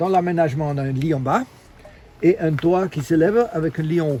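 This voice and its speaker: A man's voice with ordinary pitch variation. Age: 50s. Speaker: long-term van traveler. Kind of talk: casual walkthrough of his van. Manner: halting, many hesitations.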